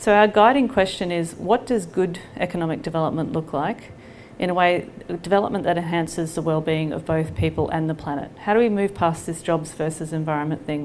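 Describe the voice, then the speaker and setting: A woman speaks at a fairly quick pace with an Australian accent. Her fairly low pitch shows ordinary pitch variation, and there is audible room echo. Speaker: nonprofit leader. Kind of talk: public presentation. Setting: library hall with audience.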